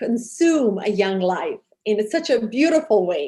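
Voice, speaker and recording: A woman's very slow delivery, with very wide swings in pitch. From Serbia. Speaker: TV host and charity founder. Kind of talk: interview. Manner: hesitant, many fillers.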